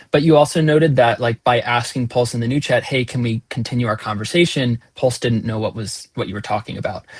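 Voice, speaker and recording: His voice comes across somewhat breathy. The man's pitch is medium and shifts in an ordinary way. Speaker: product team member answering user questions. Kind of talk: live town hall Q&A.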